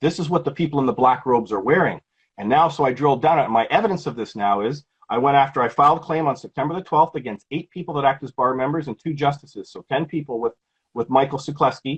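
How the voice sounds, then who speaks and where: In a Canadian accent, a man talks at a very fast pace with a fairly high pitch, ordinary pitch variation and a somewhat breathy sound. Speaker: legal activist. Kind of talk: interview.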